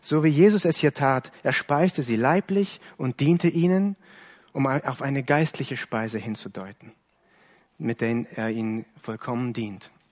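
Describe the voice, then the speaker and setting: Recorded dry and close with no echo, a man with an ordinary speaking voice talks at a fairly slow pace in a medium pitch with lively intonation. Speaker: preacher. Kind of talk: sermon, earnest preaching to a congregation, explaining a Bible text. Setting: church. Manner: earnest, measured and warm, pastoral, with some self-correcting repetitions.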